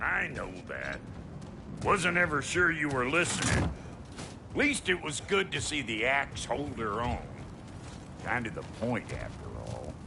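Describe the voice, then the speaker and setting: A man's gruff, put-on character voice, medium in pitch and fairly slow, with long, frequent pauses over loud background noise. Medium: video game. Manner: gruff, folksy, profane.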